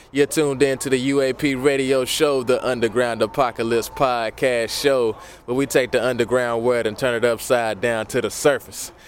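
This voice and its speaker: Noticeable background noise sits under the speech. The delivery is monotone and flat, with hardly any pauses. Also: man, medium pitch for a man, moderate pace. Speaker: podcast host. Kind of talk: live interviews at a concert. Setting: live venue with audience.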